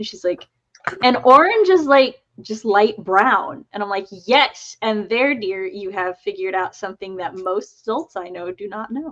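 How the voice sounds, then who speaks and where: A woman's normal speaking voice, fairly high in pitch with an American accent, lively intonation, big swings in loudness and a fairly slow pace. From US South. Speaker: writer and livestream co-host. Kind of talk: casual chat.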